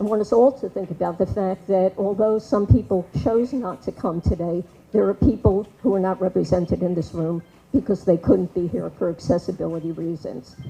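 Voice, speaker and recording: A woman's medium-pitched voice in an American accent, dark and mellow with vocal fry. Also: ordinary pitch variation, moderate pace. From New York. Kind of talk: public meeting speech. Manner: loud.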